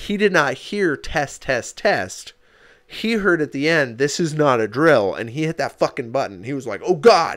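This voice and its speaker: Loud and shouting, a man with a fairly high pitch speaks at a moderate pace in an animated tone, with very wide pitch swings. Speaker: podcast co-host. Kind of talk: casual chat. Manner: loud, half yelling.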